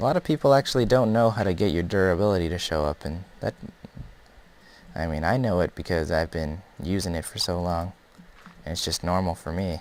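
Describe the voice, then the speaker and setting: Relaxed in tone, a man with a very deep, low pitch speaks at a fairly quick pace. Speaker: Minecraft YouTuber. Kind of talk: gameplay commentary. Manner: casual, relaxed.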